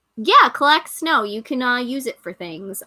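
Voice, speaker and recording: In an American accent, a woman speaks with a high, bright, sharp voice and an animated tone. Her pitch swings very widely. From New York. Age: 30s. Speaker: livestream host, pagan content creator. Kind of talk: casual livestream chat. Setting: live stream.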